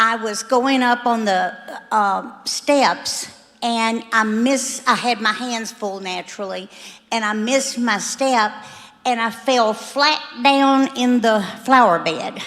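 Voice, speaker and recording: Over noticeable background noise, a woman speaks very slowly at a fairly high pitch with fairly even intonation. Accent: American. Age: 70s. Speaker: church member giving testimony. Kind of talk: testimony.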